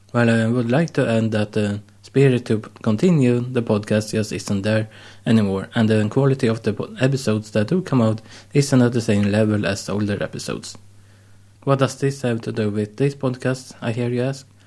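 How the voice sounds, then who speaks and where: A man's medium-pitched, dark, mellow voice, fairly quick in pace, with ordinary pitch variation. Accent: Swedish. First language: Swedish. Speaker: podcast host. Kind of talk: solo monologue.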